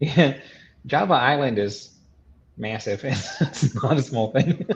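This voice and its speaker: Somewhat breathy, a man of medium pitch speaks at a very slow pace with ordinary pitch variation. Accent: Southern US. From US South, Arkansas (Benton). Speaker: podcast guest, carnivore diet follower. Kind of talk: casual interview chat. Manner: halting, many repetitions and fillers.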